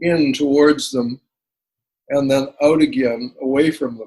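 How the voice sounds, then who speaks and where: A man with a fairly high pitch speaks at a fairly slow pace in an unremarkable speaking voice. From Canadian, living in the United States. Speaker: musician, singer-songwriter, piano learner. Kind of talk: interview answer.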